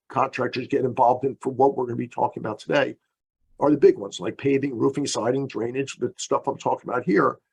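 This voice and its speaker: The man's voice sits at a medium pitch and shows vocal fry. The sound is dry and close, with no echo. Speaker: engineering consultant presenter. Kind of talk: webinar lecture. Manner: fast.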